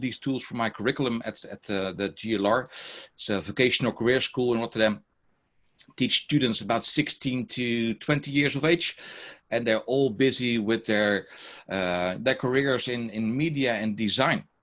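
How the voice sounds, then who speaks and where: A man with a Dutch accent speaks at a medium pitch. He keeps a moderate pace against a quiet background. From Netherlands. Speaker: teacher and software trainer; teacher, software trainer. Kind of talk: online workshop presentation. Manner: many fillers, hesitant. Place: home room.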